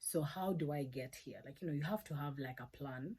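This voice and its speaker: A loud voice with a dark, mellow tone. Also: woman. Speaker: YouTuber, cybersecurity learner. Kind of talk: casual vlog, study tips.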